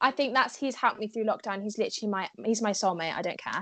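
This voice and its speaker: The background is quiet as a woman speaks in a southern English accent. Her fairly high voice has lively intonation. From southwest England, Cheltenham. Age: young. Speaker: content creator. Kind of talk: casual chat.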